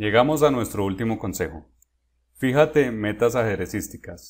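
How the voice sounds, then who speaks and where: A man with a plain, everyday voice and ordinary pitch variation is heard in a very clean recording, silent background. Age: 30s. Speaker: chess grandmaster and coach. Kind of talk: tutorial. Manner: direct address to viewer.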